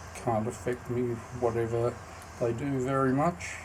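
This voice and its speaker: Speaking with an Australian accent, a man talks at a fairly slow pace in a medium pitch with monotone, flat intonation over audible room echo. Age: 60s. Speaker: founder of an organisation. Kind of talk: self-recorded introduction video. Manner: halting, frequent ums.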